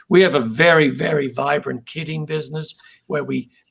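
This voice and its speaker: The voice carries an Australian accent. It moves at a moderate pace. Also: man. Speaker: company president. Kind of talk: interview. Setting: live video stream.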